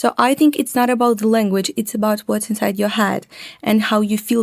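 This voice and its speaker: A woman with a Russian accent at a fairly quick pace. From Ukraine. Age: young. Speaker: interviewee. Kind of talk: interview.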